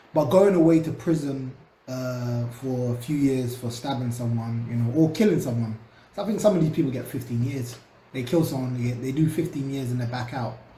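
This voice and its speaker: With a London accent, a man talks at a fairly quick pace, with a medium pitch and lively intonation. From London, England. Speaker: social commentator. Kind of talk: casual talk to camera. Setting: home recording, cheap USB microphone.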